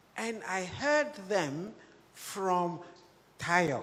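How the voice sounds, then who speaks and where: A woman's fairly low voice at a very slow pace, with very wide pitch swings and audible room echo. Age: 80s+. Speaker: music teacher. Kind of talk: panel discussion. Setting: stage with audience. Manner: halting.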